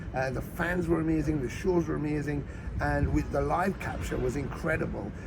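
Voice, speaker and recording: A man talks at a fairly quick pace in an animated tone. Noticeable background noise and audible room echo surround him. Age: 60s. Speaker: rock bassist and singer. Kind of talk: interview. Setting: outdoors. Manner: animated, with hesitations and repetitions.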